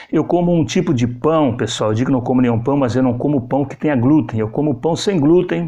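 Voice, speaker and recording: Against a quiet background, a man talks at a fairly quick pace in an animated tone, with hardly any pauses and ordinary pitch variation. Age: 60s. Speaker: journalist and vlogger; vlogger, journalist. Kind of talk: casual vlog talk. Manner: repetitive, animated. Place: home room.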